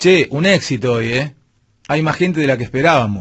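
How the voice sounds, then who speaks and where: This man's voice sits fairly high and sounds somewhat breathy. His intonation is lively, and the background is quiet. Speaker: radio host. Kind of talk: radio commentary, opinionated rant. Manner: sarcastic, rhetorical, mocking. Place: studio. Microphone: studio mic.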